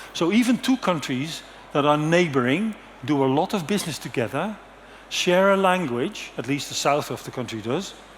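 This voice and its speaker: With a Dutch accent, a man speaks at a moderate pace in a fairly high pitch. His intonation is lively, and audible room echo surrounds him. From Netherlands. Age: 60s. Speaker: conference speaker. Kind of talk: conference presentation. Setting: stage with audience.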